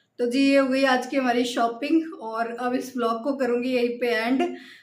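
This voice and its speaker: A high-pitched female voice with fairly even intonation and audible room echo. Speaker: vlogger, homemaker. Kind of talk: casual vlog talk.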